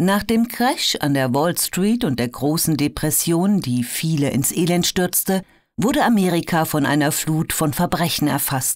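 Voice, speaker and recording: Over a silent background in a very clean recording, a woman with a fairly low pitch delivers lines in a dramatic tone with lively intonation. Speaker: audiobook narrator. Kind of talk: true-crime documentary narration, scripted audiobook excerpt read aloud. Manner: measured, dramatic, storytelling tone; clear, polished, formal delivery.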